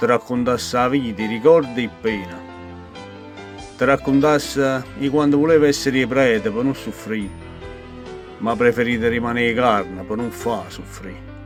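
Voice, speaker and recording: A man with a Neapolitan accent speaks at a medium pitch and moderate pace, with ordinary pitch variation, long, frequent pauses and music in the background. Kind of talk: poetry reading.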